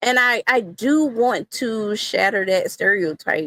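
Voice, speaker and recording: A woman speaks at a fairly slow pace on a very clean recording with a silent background and a dry, close sound with no echo. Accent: Southern US. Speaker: wrestling content creator. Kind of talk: interview.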